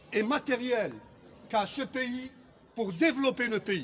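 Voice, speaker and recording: Over light background noise, a man talks fairly slowly at an extremely high pitch. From Algeria. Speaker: sociology professor. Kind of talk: political commentary. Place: street. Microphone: phone near.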